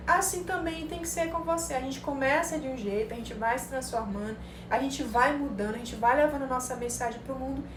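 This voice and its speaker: Speaking at a fairly quick pace with a high pitch, a woman is heard over noticeable background noise and audible room echo. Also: lively intonation, big swings in loudness. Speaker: psychologist teaching marketing to psychologists. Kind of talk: live-streamed online class. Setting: live stream. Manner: animated.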